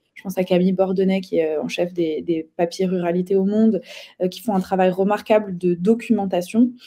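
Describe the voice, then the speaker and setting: A dark, mellow tone comes at a fairly quick pace, with fairly even intonation and big swings in loudness. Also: woman, medium pitch for a woman. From eastern France (Ain). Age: 30s. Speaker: political activist. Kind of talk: interview. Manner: hesitant, many fillers.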